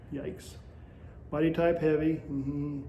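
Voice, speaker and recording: Audible room echo surrounds a man speaking in a monotone, flat way. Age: 60s. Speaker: vlogger documenting a juice fast. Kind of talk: casual vlog monologue. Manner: hesitant, many fillers.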